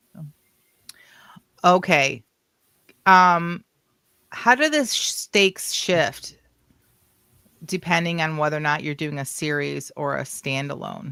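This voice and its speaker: On a very clean recording with a silent background, a woman speaks very slowly with long, frequent pauses, her very deep, low voice bright and sharp in tone, with ordinary pitch variation and big swings in loudness. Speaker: podcast co-host. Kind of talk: casual chat.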